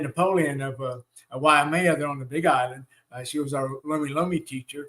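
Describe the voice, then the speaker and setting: A man with a Southern US accent speaks in a fairly high voice with fairly even intonation. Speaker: shamanic teacher. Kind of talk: live online teaching with Q&A. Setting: live stream. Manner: hesitant, many fillers.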